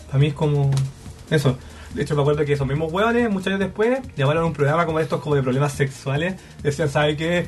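Talking at a very fast pace over music in the background, a man with a Chilean accent keeps a fairly high pitch and very even loudness. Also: ordinary pitch variation. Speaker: podcast guest. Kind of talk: casual chat.

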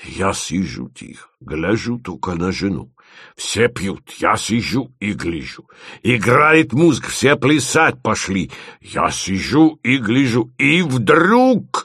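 Using a put-on character voice, a man speaks slowly at a fairly low pitch with big pitch swings and a slightly husky edge. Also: very clean recording, silent background.

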